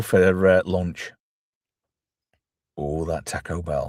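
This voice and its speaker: In an English accent, a man speaks at a very slow pace on a very clean recording with a silent background. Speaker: film reviewer. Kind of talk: casual chat.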